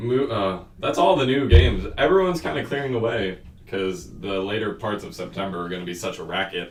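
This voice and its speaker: Delivered at a fairly quick pace with lively intonation, the speech has big swings in loudness, audible room echo and noticeable background noise. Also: man, fairly low pitch for a man. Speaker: student podcast host. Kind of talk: casual chat. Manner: fast.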